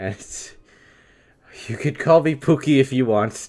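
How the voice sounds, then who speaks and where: This man has a medium pitch, a dark, mellow tone, ordinary pitch variation and an American accent. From US Northeast, New York. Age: 20s. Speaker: video game streamer. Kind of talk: live stream Q&A.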